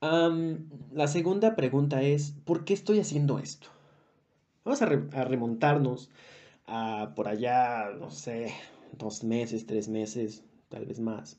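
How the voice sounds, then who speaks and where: Speaking with a Mexican accent, a man uses a medium pitch and lively intonation at a very slow pace, with long, frequent pauses. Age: 20s. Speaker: podcast co-host. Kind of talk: casual monologue.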